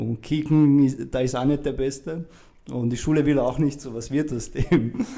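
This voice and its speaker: Intonation stays fairly even while the words come out at a fairly slow rate. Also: man, fairly high pitch for a man. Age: 30s. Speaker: mental coach and mentor. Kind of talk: interview. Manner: halting.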